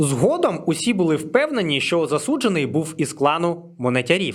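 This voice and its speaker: This man's voice sits fairly high and swings very widely in pitch. He speaks at a moderate pace. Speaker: history YouTuber. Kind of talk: scripted narration; channel promo and outro.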